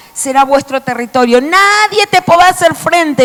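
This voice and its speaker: A woman's animated, high-pitched voice against noticeable background noise. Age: 60s. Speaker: preacher. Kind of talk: sermon.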